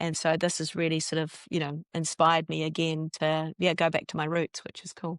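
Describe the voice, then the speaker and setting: The speaker has a New Zealand accent and talks at a fairly quick pace. The delivery is monotone and flat, with a dry, close sound and no echo. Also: woman, very deep, low pitch for a woman, hardly any pauses. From New Zealand (Northland). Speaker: journalist turned filmmaker. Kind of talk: interview.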